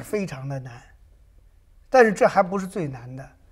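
Over a very clean recording with a silent background, a man with a plain, everyday voice speaks in a fairly high pitch with lively intonation. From Hunan, China. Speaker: painter. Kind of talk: interview. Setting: studio.

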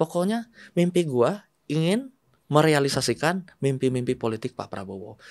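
With very wide pitch swings and big swings in loudness, a man talks at a moderate pace and a fairly high pitch over a quiet background. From West Java (Bandung), Indonesia; West Java, Indonesia. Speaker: politician, former journalist. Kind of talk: casual interview. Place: studio. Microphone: studio mic.

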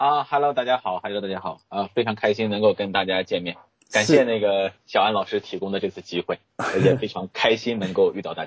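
With an unremarkable speaking voice, a man talks at a fairly quick pace and fairly low pitch, using ordinary pitch variation, in a dry, close sound with no echo. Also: hardly any pauses. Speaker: author and HR expert. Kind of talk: interview.

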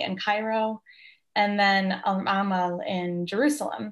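A woman's fairly slow, monotone delivery with flat intonation, in an American accent, over a quiet background. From United States. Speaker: art historian. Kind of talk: interview. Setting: video call. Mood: friendly, smiling. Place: home room. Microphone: video call.

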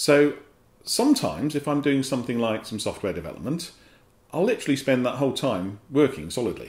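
Against audible room echo, a man with an English accent talks very fast with lively intonation. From England. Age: 50s. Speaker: company director and vlogger. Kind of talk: casual vlog monologue. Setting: home office. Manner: hesitant, with fillers. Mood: wry, good-humoured. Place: office. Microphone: camera far.

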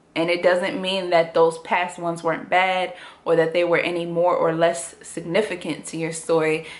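At a moderate pace, a woman speaks with a fairly low pitch and fairly even intonation. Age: 20s. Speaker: YouTuber. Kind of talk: personal vlog testimony. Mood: earnest, serious, reflective. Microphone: phone near.

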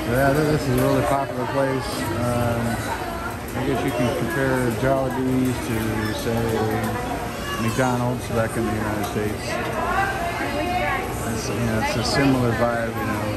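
Loud music plays in the background. Over it, a man speaks with long, frequent pauses. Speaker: travel vlogger. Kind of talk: casual vlog chat. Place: cafe. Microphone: phone near.

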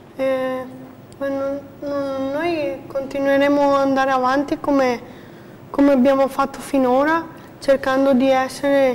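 Her monotone, flat intonation carries a high pitch at a fairly slow pace. A woman speaks over light background noise. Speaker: person facing eviction; guest. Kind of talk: personal testimony. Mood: emotional, hesitant. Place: studio. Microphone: lapel.

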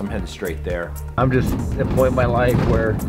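A man talks very fast while clear music sounds in the background. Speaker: vlogger on a phone call. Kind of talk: casual phone conversation. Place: hall.

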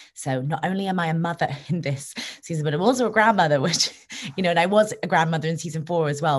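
A woman's somewhat breathy voice, fairly low in pitch, at a very fast pace. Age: 20s. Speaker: actress. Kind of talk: interview. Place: home room. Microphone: video call.

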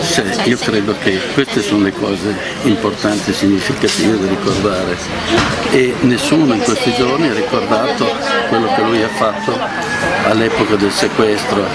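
A man at a moderate pace, with crowd noise behind him. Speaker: interviewee. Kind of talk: interview answer. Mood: warm, reflective remembrance. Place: street.

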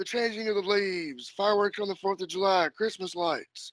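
Against a quiet background, a man speaks with a high pitch and fairly even intonation at a moderate pace, the sound dry with no echo. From Kentucky. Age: 30s. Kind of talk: casual interview chat. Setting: phone or video call. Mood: relaxed, friendly. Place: home room. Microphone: video call.

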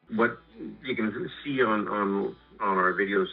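Faint music in the background behind a man's voice. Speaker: guest. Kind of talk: interview answer. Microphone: phone line.

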